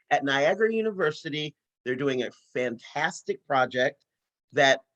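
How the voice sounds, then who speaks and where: The pace is moderate, with ordinary pitch variation. The sound is dry and close, with no echo. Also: man. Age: 60s. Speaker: peace and justice organizer. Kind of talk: webinar presentation. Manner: animated.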